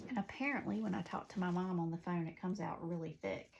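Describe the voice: A woman with a Southern US accent talks at a fast pace, with vocal fry and a slightly mellow tone. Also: fairly low pitch for a woman, ordinary pitch variation.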